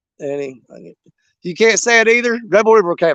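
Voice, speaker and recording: With a Southern US accent, a man speaks in a high pitch at a moderate pace. His tone is animated, and the sound is dry and close with no echo. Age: 50s. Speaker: outdoors livestreamer. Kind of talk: live stream chat. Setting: outdoors on riverbank.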